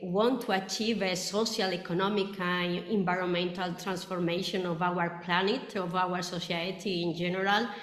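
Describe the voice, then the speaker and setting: A woman's mid-range voice carries noticeable background noise and an audible echo from the room. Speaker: roundtable moderator. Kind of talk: webinar moderation. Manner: halting.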